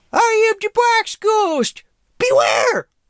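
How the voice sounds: Pitched extremely high, the voice is a put-on character act.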